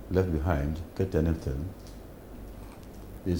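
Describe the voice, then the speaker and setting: This man's voice is somewhat breathy. He talks at a fairly slow pace. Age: 80s+. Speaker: former police commission chairman. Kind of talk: interview answer.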